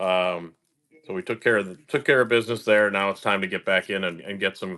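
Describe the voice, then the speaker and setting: A man's bright, sharp voice at a fairly quick pace. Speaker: live stream card breaker. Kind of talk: casual live stream chat. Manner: animated.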